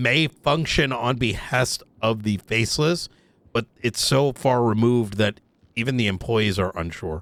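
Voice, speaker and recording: Putting on a character voice, a man speaks at a moderate pace in a raspy, medium-pitched tone. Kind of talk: casual roleplay interrogation. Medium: game stream. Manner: deliberate, hedging, thinking aloud.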